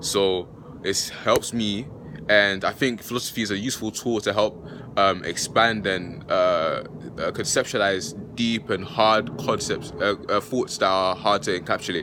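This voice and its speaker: A man talks fairly slowly while noticeable noise sounds behind him. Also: fairly even intonation. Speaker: philosophy YouTuber. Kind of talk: casual vlog talk. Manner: halting, many fillers.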